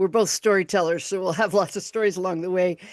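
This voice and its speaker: A woman talks at a very fast pace with a Chicago accent. Her pitch is medium, and the background is quiet. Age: 60s. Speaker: podcast host and radio broadcaster. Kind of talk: casual interview chat. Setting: live video stream.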